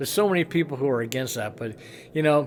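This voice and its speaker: Noticeable background noise runs through the clip. A man talks at a fairly high pitch. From Hawaii. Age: 60s. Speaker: rock musician. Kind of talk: casual storytelling vlog. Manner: conversational with fillers.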